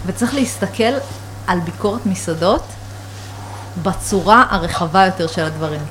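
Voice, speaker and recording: Against noticeable background noise, a woman speaks at a fairly slow pace with long, frequent pauses. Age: 30s. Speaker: food journalist. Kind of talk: casual chat. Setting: home kitchen loft.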